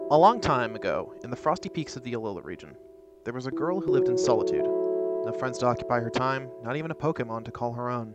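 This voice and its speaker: Over music in the background, a man speaks very fast at medium pitch with very wide pitch swings. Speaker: let's play gamer. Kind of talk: read story intro.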